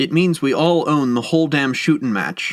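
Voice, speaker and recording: A man uses a put-on character voice at a fairly high pitch. His pace is moderate, with ordinary pitch variation. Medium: read story. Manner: nervous, hesitant.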